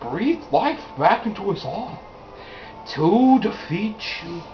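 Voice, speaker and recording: A man speaks very slowly in a put-on character voice. Clear background noise can be heard. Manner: dramatic.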